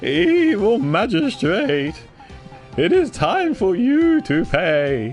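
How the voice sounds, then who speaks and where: Clear music sits in the background while a man in a put-on character voice speaks at a high pitch and a very slow pace. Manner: dramatic, confrontational.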